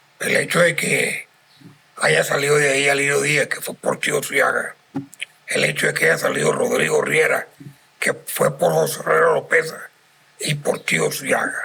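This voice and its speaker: Noticeable background noise runs under the recording. A man speaks at a fairly slow pace. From Venezuela, Carora (Lara). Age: 70s. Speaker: cultural center president. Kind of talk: podcast interview. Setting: inn lounge.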